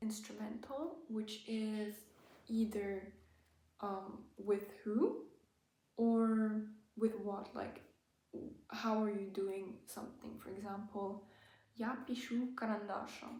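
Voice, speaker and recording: A woman speaks at a very slow pace with long, frequent pauses, her fairly high, somewhat breathy voice dark and mellow in tone, with fairly even intonation and audible room echo. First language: German. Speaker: language-learning YouTuber. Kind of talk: tutorial. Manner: hesitant, many fillers.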